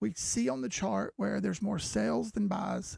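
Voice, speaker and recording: Vocal fry with very wide pitch swings at a fairly slow pace, in a dry, close sound with no echo. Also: man. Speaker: crypto trading analyst, live streamer. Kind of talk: live stream market analysis. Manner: casual, animated.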